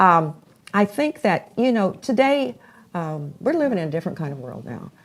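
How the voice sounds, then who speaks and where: A moderate pace paired with very wide pitch swings. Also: woman, medium pitch for a woman, big swings in loudness. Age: 80s+. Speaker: talk show host interviewing young people. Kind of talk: casual interview.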